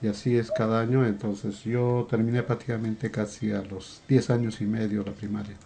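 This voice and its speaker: Over a quiet background, a man with a dark, mellow tone and medium pitch speaks at a moderate pace, somewhat breathy and in a flat monotone. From Peru, Cusco region. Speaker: podcast guest, father of co-host. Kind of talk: interview, life story.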